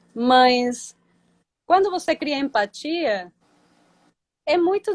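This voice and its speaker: A woman with a Spanish accent talks at a high pitch with very wide pitch swings, the sound dry and close with no echo. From Venezuela. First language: Spanish (speaking Portuguese). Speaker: ecotourism company founder. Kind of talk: interview. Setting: Instagram live video call.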